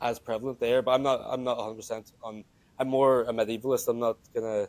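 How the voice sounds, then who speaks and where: Talking at a very fast pace, a man speaks with an Irish accent. His pitch is medium and his intonation monotone and flat. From Ireland, Wexford. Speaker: student and games company founder. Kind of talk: podcast interview. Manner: halting.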